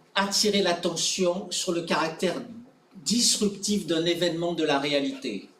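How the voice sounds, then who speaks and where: A man with a high voice speaks with ordinary pitch variation, with audible room echo and noticeable background noise. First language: French. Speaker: academic presenter. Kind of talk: conference presentation; conference Q&A answer.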